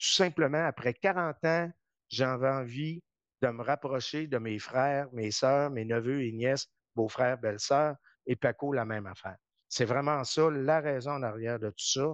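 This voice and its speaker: In a quiet background with a dry, close sound and no echo, a man with an ordinary speaking voice talks at a fairly slow pace, his pitch medium and its variation ordinary. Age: 60s. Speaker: politician. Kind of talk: interview. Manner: conversational.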